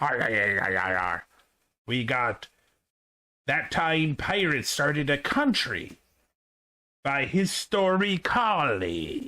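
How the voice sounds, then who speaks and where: A man adopts a put-on character voice and delivers his lines at a fairly slow tempo. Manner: gruff, theatrical.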